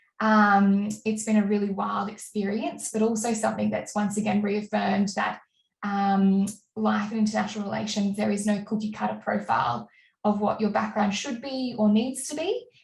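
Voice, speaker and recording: The woman talks in an Australian accent. Her speed is moderate. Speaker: diplomat. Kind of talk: panel presentation. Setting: webinar.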